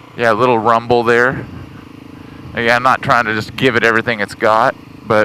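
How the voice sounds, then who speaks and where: A man's fairly quick, monotone, flat delivery with long, frequent pauses, over noticeable background noise. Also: medium pitch for a man. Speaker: motorcycle rider. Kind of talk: casual talk while riding. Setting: outdoors.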